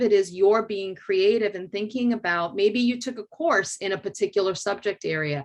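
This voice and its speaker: In a Spanish accent, a woman talks at a moderate pace. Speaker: educator. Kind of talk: panel discussion.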